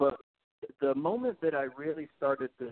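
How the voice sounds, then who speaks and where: This man has a plain, everyday voice. He talks at a moderate pace with ordinary pitch variation. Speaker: record store employee. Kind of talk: casual chat. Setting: phone call. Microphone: muffled, weak phone line.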